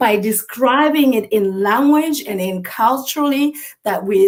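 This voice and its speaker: With a Botswana accent, a woman speaks at a very slow pace in a high pitch with ordinary pitch variation. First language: Setswana. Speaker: mental health expert. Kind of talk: interview.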